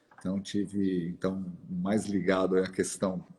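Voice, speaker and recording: The man's pitch is very deep and low, and his words come at a fairly slow rate. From Brazil, São Paulo (Zona Norte). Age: 60s. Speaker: outdoor gear company director. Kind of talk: live-stream interview. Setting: live stream. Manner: halting, repeats words.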